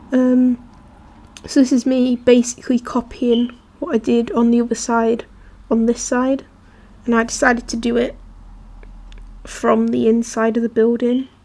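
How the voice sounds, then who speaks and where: Over noticeable background noise, a woman speaks at a moderate pace in a high pitch, pausing long and often. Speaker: gaming youtuber. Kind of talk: gameplay voice-over. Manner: casual, hesitant.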